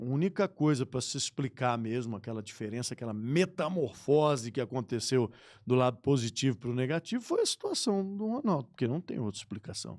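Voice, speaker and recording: A man with an unremarkable speaking voice talks at a fairly quick pace with hardly any pauses. His medium pitch carries lively intonation, in a very clean recording over a silent background. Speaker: sports radio broadcaster. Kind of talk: podcast interview answer. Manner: casual, conversational.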